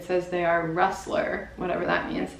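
A woman speaks at a moderate pace with audible room echo. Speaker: lifestyle vlogger. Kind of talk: casual vlog chat. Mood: cheerful, relaxed. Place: home room. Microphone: camera far.

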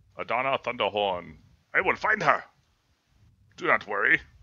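A man uses a put-on character voice at a medium pitch and a moderate pace. The sound is dry and close with no echo, over a quiet background. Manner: earnest, heroic.

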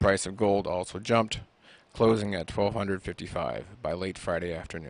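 A man's fairly low voice with vocal fry, fairly even intonation and a moderate pace, dry with no echo. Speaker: radio host. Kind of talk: radio interview. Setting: radio studio. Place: studio. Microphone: studio mic.

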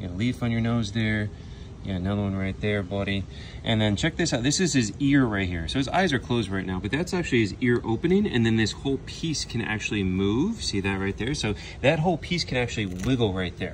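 Over light background noise, a man speaks very fast with lively intonation. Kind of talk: casual educational commentary. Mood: enthusiastic, delighted. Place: waterside. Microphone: phone near.

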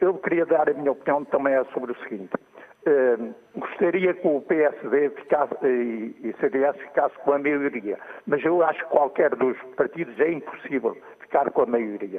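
A man speaks in an ordinary speaking voice, fairly high for a man. His pace is fairly slow, with ordinary pitch variation. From Portugal, Tomar; Portugal. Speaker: caller. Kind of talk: opinion call-in. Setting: phone call. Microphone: phone line.

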